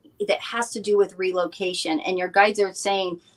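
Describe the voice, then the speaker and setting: A woman has a normal speaking voice of medium pitch with ordinary pitch variation, and the sound is dry and close with no echo. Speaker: psychic. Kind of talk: live psychic reading. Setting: live stream.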